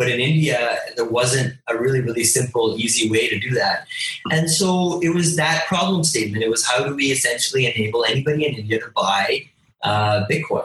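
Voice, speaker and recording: A man with an ordinary speaking voice, medium pitch, lively intonation and a fairly quick pace. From Canada, Toronto. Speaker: cryptocurrency company founder. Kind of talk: interview.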